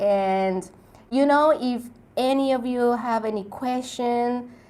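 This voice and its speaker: A woman speaks in a Spanish accent with ordinary pitch variation. Her pitch is fairly high. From Mexico. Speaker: travel YouTuber. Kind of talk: live stream Q&A. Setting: live stream.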